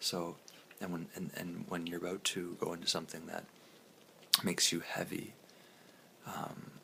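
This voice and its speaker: A soft-spoken man whispering at a moderate pace, with long, frequent pauses. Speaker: vlogger. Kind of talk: casual self-help monologue. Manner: whispery, soft; hesitant, many fillers.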